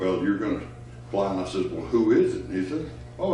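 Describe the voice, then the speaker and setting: A man is speaking over noticeable background noise. The room echo is audible. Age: 80s+. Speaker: retired fighter pilot, veteran. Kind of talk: personal storytelling interview. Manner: halting, with frequent fillers.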